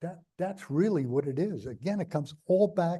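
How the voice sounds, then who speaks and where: Lively intonation marks this man's speech, with a slight New York accent. He has a high pitch and a dark, mellow tone at a moderate pace. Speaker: former state official. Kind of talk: interview. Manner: animated; halting.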